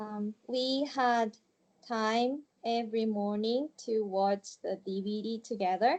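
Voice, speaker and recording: With a Japanese accent, a woman speaks very slowly at a fairly high pitch and with fairly even intonation. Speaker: ESL student. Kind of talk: interview. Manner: halting.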